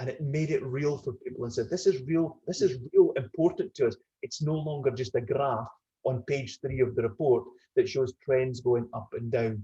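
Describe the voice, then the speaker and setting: This voice has a Scottish accent, a somewhat breathy quality and a dark, mellow tone. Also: man, fairly high pitch for a man, ordinary pitch variation, moderate pace. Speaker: retired business executive. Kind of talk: webinar panel discussion.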